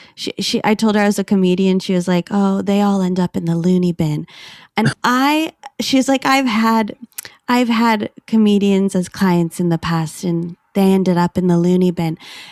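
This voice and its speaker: A woman speaks at medium pitch with ordinary pitch variation and very even loudness, at a moderate pace. The sound is dry and close with no echo, and it is an unremarkable speaking voice. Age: 30s. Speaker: comedian. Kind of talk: casual chat.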